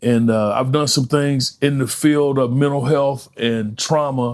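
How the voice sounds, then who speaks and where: An American-accented man at a medium pitch, with fairly even intonation and a moderate pace. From North Carolina (Thomasville). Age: 60s. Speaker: author and peer support specialist. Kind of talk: podcast interview. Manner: hesitant, many fillers.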